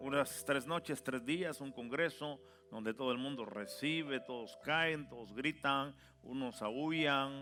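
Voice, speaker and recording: A man's unremarkable speaking voice, fairly high in pitch, fairly slow, with ordinary pitch variation. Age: 60s. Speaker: pastor. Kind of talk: sermon.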